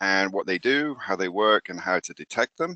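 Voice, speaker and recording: In a British accent, the speaker has a bright, sharp tone, recorded with a dry, close sound, no echo and a quiet background. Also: man. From UK. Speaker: microbiology professor. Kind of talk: lecture. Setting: presenting online from home. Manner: hesitant, many fillers.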